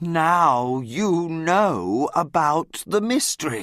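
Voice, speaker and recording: A man uses a put-on character voice pitched high. He speaks at a very slow pace. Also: lively intonation, very clean recording, silent background. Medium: read story. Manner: simple, slow learner-level English.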